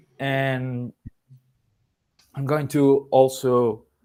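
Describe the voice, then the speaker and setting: Speaking with a Spanish accent, a man keeps a medium pitch and a monotone, flat intonation. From Colombia. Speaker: sound artist and lecturer. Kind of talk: lecture. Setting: video call. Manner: halting, many fillers.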